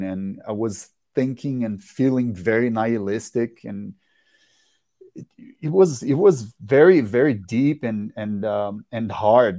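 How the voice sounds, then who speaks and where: At a fairly slow pace, a man with a Portuguese accent speaks in a dark, mellow tone at a medium pitch with ordinary variation, on a very clean recording with a silent background. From Brazil. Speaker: rock musician. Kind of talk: interview. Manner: halting.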